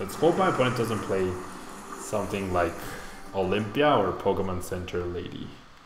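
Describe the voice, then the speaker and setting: Fairly low in pitch, a man speaks at a moderate pace with ordinary pitch variation and long, frequent pauses. Noticeable background noise and audible room echo fill the recording. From Mexico. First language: Spanish. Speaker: streamer. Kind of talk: live gameplay commentary; casual chat answering viewers. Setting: live stream. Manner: casual, thinking aloud.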